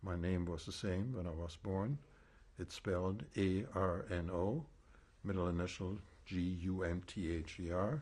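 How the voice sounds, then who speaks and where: A man with a German accent, a very deep, low pitch, ordinary pitch variation and a fairly slow pace. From Germany, East Prussia. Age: 70s. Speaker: Holocaust survivor. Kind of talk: oral history testimony interview. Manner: measured, with frequent hesitations.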